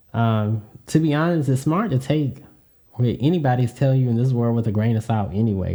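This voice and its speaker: Dark, mellow tone in a Southern US accent, with ordinary pitch variation and a moderate pace. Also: man. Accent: Southern US, sounds very country. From US Deep South. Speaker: podcast host. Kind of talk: solo podcast monologue. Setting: home podcast setup hearing own voice. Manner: casual, filler-heavy with frequent 'um'.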